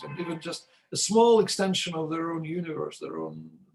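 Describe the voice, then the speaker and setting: A man with a fairly high voice talks at a fairly quick pace, his pitch varying in an ordinary way. Music plays in the background. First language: not English. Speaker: logician. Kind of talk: academic discussion. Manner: halting.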